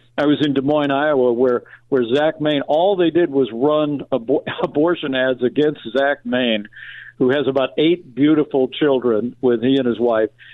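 A man's fairly high voice, an ordinary speaking voice, at a moderate pace, with fairly even intonation and very even loudness. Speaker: politician. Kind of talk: radio interview. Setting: phone call.

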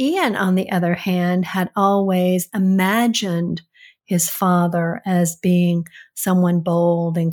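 A somewhat breathy woman's voice, fairly low in pitch with fairly even intonation, over a silent background in a very clean recording. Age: 60s. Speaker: host's mother giving advice. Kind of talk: casual chat.

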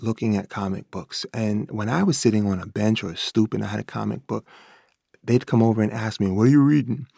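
On a very clean recording with a silent background and a dry, close sound with no echo, a man with a New York accent speaks at a moderate pace, medium pitch and ordinary pitch variation. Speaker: teacher and children's author. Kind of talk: prepared monologue.

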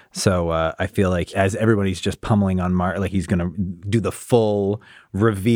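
An unforced reading voice. The intonation stays fairly even.

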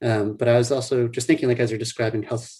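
A man with an American accent speaks in a somewhat breathy, dark, mellow voice of medium pitch. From US South, New Orleans. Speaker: neurologist. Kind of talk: interview.

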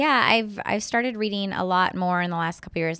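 A woman's normal speaking voice at a medium pitch and fairly quick pace, on a very clean recording with a silent background. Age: 30s. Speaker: startup founder and CEO. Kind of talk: interview. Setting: studio.

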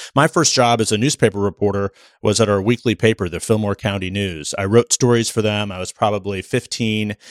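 Someone with a Midwestern American accent talks at a fairly quick pace with ordinary pitch variation. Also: man, fairly low pitch for a man. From US Midwest, Nebraska. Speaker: political journalist. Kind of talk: casual interview conversation. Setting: on location in New Hampshire on primary day. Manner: halting, many filler words.

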